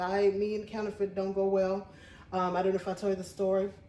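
A woman talks with audible room echo and light background noise around her. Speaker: thrift haul vlogger. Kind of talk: casual vlog chat. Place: home room. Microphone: phone near.

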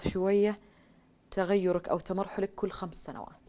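A woman's medium-pitched voice, dark and mellow, at a fairly slow pace. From Saudi Arabia, Riyadh. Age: 30s. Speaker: writer; interview guest. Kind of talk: interview. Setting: studio. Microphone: lapel.

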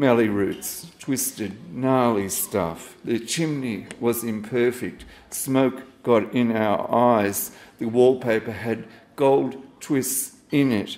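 A man with an Australian accent talks at a very slow pace with long, frequent pauses. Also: ordinary pitch variation. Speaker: poet. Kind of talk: poetry reading at a live event. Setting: stage with audience. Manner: wry, self-deprecating, casual. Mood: reflective, nostalgic. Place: cafe. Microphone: handheld.

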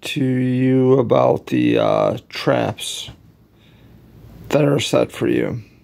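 A man is speaking. His pace is very slow. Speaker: advice vlogger. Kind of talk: casual vlog chat, moral advice. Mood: earnest, preaching tone. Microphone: phone near.

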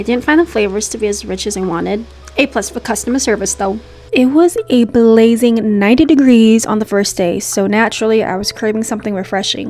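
This woman's voice sits fairly high and moves with ordinary pitch variation. She speaks at a fairly quick pace. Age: 20s. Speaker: travel and food vlogger. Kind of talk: vlog narration. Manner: casual, chatty.

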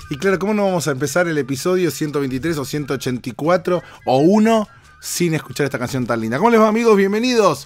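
Music plays behind a man with a fairly high pitch. His tone is animated, with very wide pitch swings. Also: moderate pace. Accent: Rioplatense. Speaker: podcast host. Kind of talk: casual monologue. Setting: travelling, recording in Miami.

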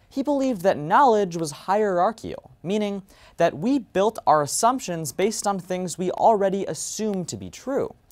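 Behind him, the background stays quiet. A man delivers his words at a moderate pace. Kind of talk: competitive speech. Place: stage.

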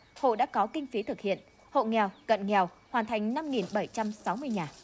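The voice is a normal speaking voice with lively intonation. It moves at a fairly slow pace. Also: woman. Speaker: news reporter. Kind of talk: news reading.

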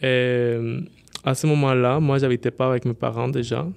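A man of medium pitch with a Spanish accent against a quiet background. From Colombia. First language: Spanish (speaking French). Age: 20s. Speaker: social worker. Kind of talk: casual chat.

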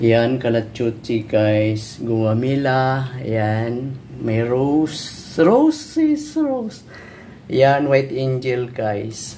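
A very slow pace over light background noise. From Philippines. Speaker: vlogger, domestic helper; vlogger. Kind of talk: casual vlog. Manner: animated. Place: home room. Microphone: phone near.

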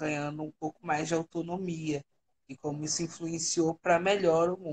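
Light background noise sits behind a woman with a very deep, low voice. She speaks in a flat monotone. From Brazil, Rio de Janeiro (Baixada Fluminense); Rio de Janeiro, Brazil. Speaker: international relations writer; radio guest. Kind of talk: casual chat. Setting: online livestream call. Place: home room. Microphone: video call.

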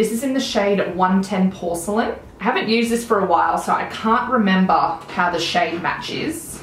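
Someone with an Australian accent speaks at a moderate pace with ordinary pitch variation and hardly any pauses, amid light background noise and audible room echo. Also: woman, medium pitch for a woman. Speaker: beauty vlogger. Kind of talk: casual chat. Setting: home video recording. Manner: animated. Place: home room.

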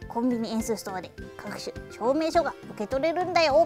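A cartoonish character voice, pitched fairly high, plays over clear music in the background. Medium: puppet.

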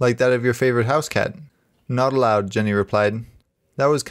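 The speaker has a natural reading voice. Nothing can be heard in the background.

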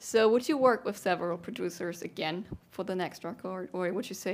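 Over light background noise, a woman with a German accent speaks at a medium pitch and a moderate pace, with ordinary pitch variation. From Germany. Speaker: music interviewer. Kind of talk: interview. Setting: studio. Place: studio. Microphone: headset.

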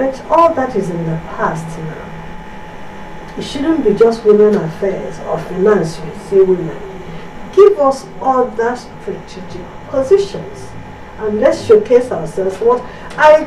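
Very wide pitch swings from a woman at a fairly slow pace, with audible room echo and light background noise. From Nigeria, Abia State; Nigeria. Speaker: entertainer and broadcaster; talk show guest. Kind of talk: TV panel discussion. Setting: studio. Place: studio.

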